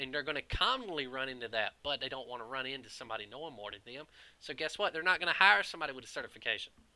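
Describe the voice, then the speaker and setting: With a Southern US accent, a man talks at a very fast pace and a medium pitch, his bright, sharp tone marked by big swings in loudness. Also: ordinary pitch variation. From US South. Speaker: IT professional and video creator. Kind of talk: casual opinion monologue. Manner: animated, conversational.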